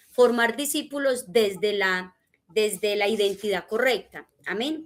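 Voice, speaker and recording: A woman with an ordinary speaking voice talks at a fairly high pitch. She goes at a fairly slow pace with ordinary pitch variation. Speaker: discipleship teacher. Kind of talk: church teaching class.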